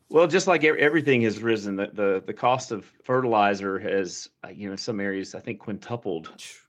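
A man speaks with a Southern US accent at a moderate pace, his pitch fairly low and his intonation lively. There are hardly any pauses, and the background is quiet. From US South, east central Alabama. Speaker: agricultural extension director. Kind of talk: radio interview. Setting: phone call.

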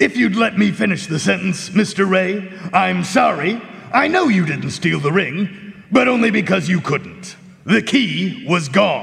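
Someone talks fairly slowly in a put-on character voice. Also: man, high pitch for a man. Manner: polite, precise, deliberate.

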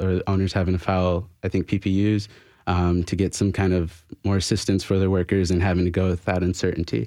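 Very deep, low pitch from a man, with a dark, mellow tone, monotone, flat intonation, very even loudness and a fairly quick pace against a quiet background. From Florida. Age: 20s. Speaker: labor organizer and barista. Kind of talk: radio interview.

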